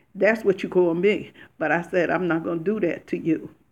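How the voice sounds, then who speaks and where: Speaking at a moderate pace, a woman with a fairly low pitch uses an animated tone. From Paterson, New Jersey. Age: 60s. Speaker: YouTuber. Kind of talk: livestream rant. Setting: livestream.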